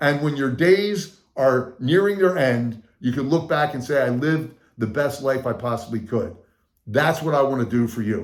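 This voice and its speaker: A man with a fairly high pitch and an animated tone talks at a moderate pace with ordinary pitch variation. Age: 60s. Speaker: motivational speaker and sales coach. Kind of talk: channel introduction talk.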